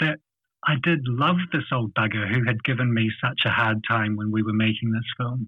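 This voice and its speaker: With a New Zealand accent, a man speaks with ordinary pitch variation. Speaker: business owner. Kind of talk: casual chat. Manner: halting.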